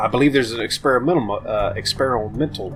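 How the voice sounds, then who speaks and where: Moderate pace with music in the background. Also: man. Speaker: gameplay commentator. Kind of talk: casual let's play commentary. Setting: boomy room, muffled echo.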